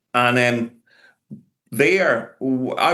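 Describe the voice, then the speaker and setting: Against a quiet background, a man with a Glaswegian accent speaks at a medium pitch in a bright, sharp tone. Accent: Glaswegian Scottish. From Scotland, Glasgow. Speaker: professor. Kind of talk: conference lecture.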